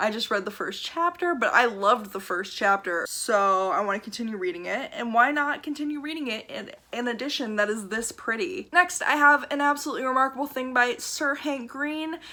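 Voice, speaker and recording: Her high, bright, sharp voice moving with lively intonation, a woman talks at a fairly quick pace with hardly any pauses. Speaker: book vlogger. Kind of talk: casual chat. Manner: fast.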